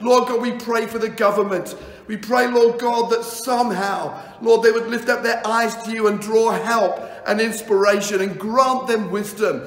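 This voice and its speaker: A man speaks in a solemn tone at an extremely high pitch, his intonation monotone and flat. Audible room echo surrounds him. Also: moderate pace. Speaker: pastor. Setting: video message recorded for an Indian audience. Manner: earnest, heartfelt and solemn, with a rhythmic, imploring delivery. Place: home room.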